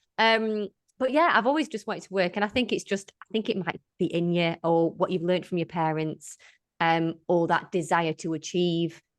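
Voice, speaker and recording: This is an ordinary speaking voice from a woman, medium in pitch and at a fairly quick pace. The sound is dry and close with no echo. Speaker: wellness business founder. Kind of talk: casual chat.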